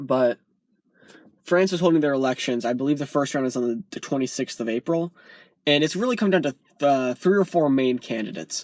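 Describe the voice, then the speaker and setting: Fairly quick and fairly high in pitch, a man speaks with ordinary pitch variation. The sound is dry and close with no echo, on a very clean recording with a silent background. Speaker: YouTuber. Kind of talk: political rant vlog. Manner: fast; animated.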